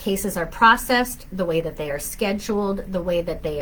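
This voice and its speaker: A woman talks at a moderate pace over noticeable background noise. Audible room echo surrounds her voice. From southern Minnesota. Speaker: family law attorney. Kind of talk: live Q&A. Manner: conversational, frequent fillers.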